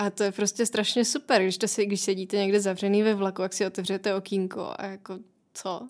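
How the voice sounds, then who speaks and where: Monotone and flat in intonation, a woman speaks at a medium pitch and a fairly quick pace on a very clean recording with a silent background. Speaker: traveller and author. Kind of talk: interview.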